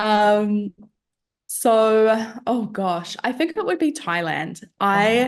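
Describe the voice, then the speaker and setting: Speaking very slowly with lively intonation, a woman with a New Zealand accent uses a fairly high pitch over a quiet background. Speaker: business owner. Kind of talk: podcast interview.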